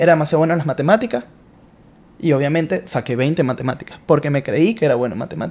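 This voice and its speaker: A man with a Venezuelan accent, fairly high-pitched and animated, lively in intonation, with vocal fry and a very fast pace. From Venezuela (Caracas). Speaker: entrepreneur. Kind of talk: interview.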